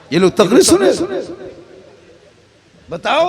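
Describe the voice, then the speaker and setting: Noticeable background noise sits behind the speaker. A man talks at a moderate pace. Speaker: Islamic preacher. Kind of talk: religious sermon. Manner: humorous.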